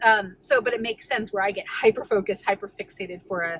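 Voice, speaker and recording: A woman talks at a fairly quick pace in a medium pitch. Noticeable background noise runs under her voice. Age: 30s. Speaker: weight loss vlogger. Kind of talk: casual vlog. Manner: fast; quiet.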